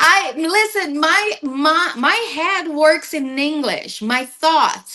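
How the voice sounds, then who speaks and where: In a raised, projected voice with a Portuguese accent, the speaker talks very slowly with lively intonation over noticeable background noise. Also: woman, extremely high pitch for a woman. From Brazil. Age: 40s. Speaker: podcast guest. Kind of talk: casual chat.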